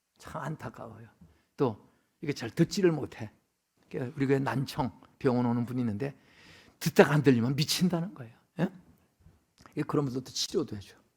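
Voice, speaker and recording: Animated in tone and somewhat breathy, a man speaks at a medium pitch with ordinary pitch variation and big swings in loudness. His pace is fairly quick, broken by long, frequent pauses. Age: 70s. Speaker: retired pastor, guest preacher. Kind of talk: sermon. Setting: church. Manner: animated, conversational.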